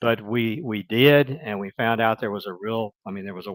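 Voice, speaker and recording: A man with a Mississippi accent, medium pitch and fairly even intonation. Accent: Southern US (Mississippi). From US South, Mississippi. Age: 60s. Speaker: retired business executive, guest. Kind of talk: interview conversation. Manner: hesitant, with fillers and restarts.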